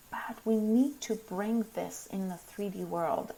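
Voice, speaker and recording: A woman's medium-pitched voice with ordinary pitch variation over noticeable background noise. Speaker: spiritual teacher. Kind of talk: live stream talk. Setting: live video stream.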